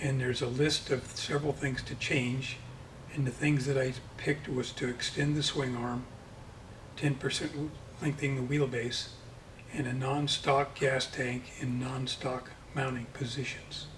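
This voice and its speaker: A man with a medium-pitched voice speaks at a fairly slow pace in a monotone, flat delivery, leaving long, frequent pauses. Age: 70s. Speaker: motorcycle land speed racer. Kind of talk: casual interview. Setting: workshop.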